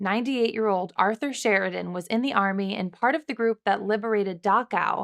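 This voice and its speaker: A woman's normal speaking voice at medium pitch, fairly quick pace and ordinary pitch variation, in a very clean recording with a silent background and a dry, close sound with no echo. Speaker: news host. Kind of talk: upbeat news anchor delivery.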